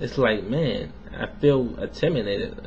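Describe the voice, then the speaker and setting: A man's medium-pitched voice with audible echo from the room. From US South. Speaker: vlogger. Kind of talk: casual video response monologue. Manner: casual, filler-heavy.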